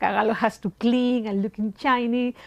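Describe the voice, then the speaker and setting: A woman speaks with a strong Peruvian accent. Her pitch is high. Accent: heavy Peruvian Spanish. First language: Spanish. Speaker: shoemaker. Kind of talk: interview. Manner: halting non-native English.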